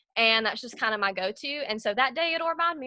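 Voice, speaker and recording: A woman speaks at a very fast pace in a raised, projected voice. Her tone is bright and sharp. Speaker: network marketing team leader. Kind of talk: tutorial. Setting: video call. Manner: casual, lots of fillers.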